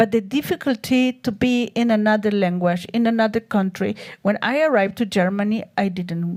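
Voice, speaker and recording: A woman with a Spanish accent speaks at a fairly slow pace in a medium pitch, her voice somewhat breathy. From Chile. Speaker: artist. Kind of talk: interview on stage. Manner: halting.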